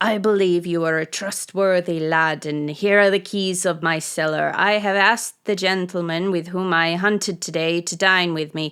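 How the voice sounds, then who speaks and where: Using a put-on character voice, a woman speaks at a moderate pace and fairly low pitch with hardly any pauses, on a very clean recording with a silent background. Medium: read story.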